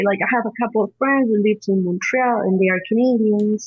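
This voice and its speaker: With a Spanish accent, a woman speaks at a fairly high pitch with ordinary pitch variation. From Peru. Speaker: horticulturist and cannabis advocate. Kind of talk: interview conversation.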